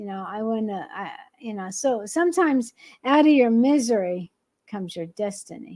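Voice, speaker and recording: A woman with a fairly high pitch and an unremarkable speaking voice talks at a moderate pace with lively intonation and big swings in loudness, on a very clean recording with a silent background. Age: 60s. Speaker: podcast host. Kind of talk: casual chat.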